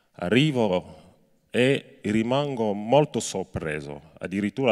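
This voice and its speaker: Against a quiet background, a man talks very slowly at a medium pitch. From Cameroon. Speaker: labor rights activist; speaker. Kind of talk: speech to students and inmates. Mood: earnest, serious. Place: stage. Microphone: handheld.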